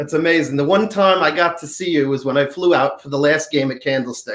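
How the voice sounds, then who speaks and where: This voice has a New York accent. It moves at a fairly quick pace with ordinary pitch variation. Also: man. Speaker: fan. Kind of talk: casual chat. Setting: video call.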